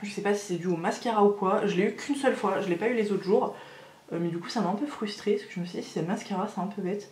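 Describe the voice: A woman's fast speech with a slightly mellow tone, medium pitch, ordinary pitch variation and audible room echo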